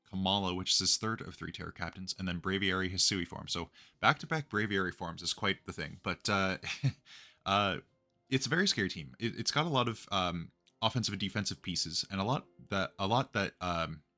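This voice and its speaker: Music plays in the background as a man with a fairly low pitch talks at a fairly quick pace with ordinary pitch variation, the sound dry and close with no echo. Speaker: competitive gaming content creator. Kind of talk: casual commentary video. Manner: hesitant with many filler words.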